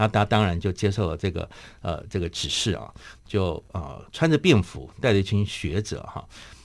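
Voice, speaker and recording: An ordinary speaking voice from a man, fairly low-pitched with ordinary pitch variation, at a moderate pace, on a very clean recording with a silent background. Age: 50s. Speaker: memorial foundation chairman, grandson of a general. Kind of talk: radio interview, personal reminiscence. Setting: radio studio.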